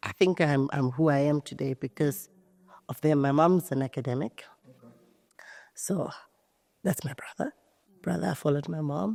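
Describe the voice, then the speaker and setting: With a dark, mellow tone and a very deep, low pitch, a woman speaks with lively intonation and long, frequent pauses in a very clean recording with a silent background and a dry, close sound with no echo. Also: moderate pace. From South Africa, Gauteng township. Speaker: entrepreneur. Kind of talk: podcast interview. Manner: loud.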